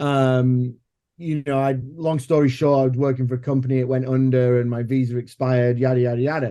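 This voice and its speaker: In an English accent, a man with a dark, mellow tone and medium pitch speaks fairly quickly in a monotone, flat way at very even loudness. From England. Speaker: filmmaker. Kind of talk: podcast interview.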